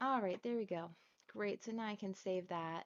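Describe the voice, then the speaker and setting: A soft-spoken woman talks at a fairly quick pace. Her pitch variation is ordinary. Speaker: online marketing trainer. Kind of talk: live screen-share tutorial. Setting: livestream with chat. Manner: casual.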